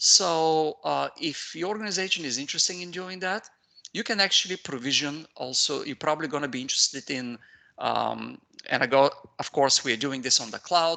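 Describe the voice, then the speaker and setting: A man speaks in an Eastern European accent at a fairly quick pace. His voice is fairly high, with a bright, sharp tone. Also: ordinary pitch variation. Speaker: IT consultant and trainer. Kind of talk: technical training webinar. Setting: video call. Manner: hesitant, many fillers.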